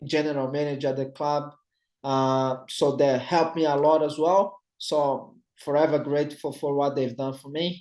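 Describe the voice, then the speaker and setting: In a Brazilian Portuguese accent, a man with a fairly high pitch speaks in a monotone, flat intonation. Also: moderate pace. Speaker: retired professional footballer. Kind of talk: interview conversation. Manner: halting, many fillers and repetitions.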